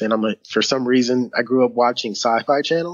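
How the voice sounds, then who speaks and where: A man with a Philadelphia accent speaks with fairly even intonation. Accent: Philadelphia American English. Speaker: podcaster, community volunteer. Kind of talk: podcast interview answer. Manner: soft-spoken.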